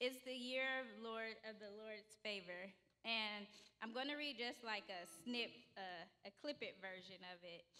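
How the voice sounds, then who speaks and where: A woman speaks at a fairly slow pace with a fairly high pitch and ordinary pitch variation. Her tone is bright and sharp. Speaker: preacher. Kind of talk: sermon. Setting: church. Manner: casual. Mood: warm, light, conversational. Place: church. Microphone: podium.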